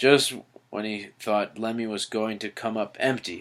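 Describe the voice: The reading aloud is plain, and the intonation fairly even.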